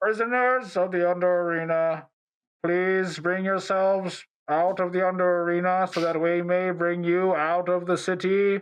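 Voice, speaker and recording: Put-on character voice from a man, pitched high, delivered at a moderate pace. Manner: commanding, announcing.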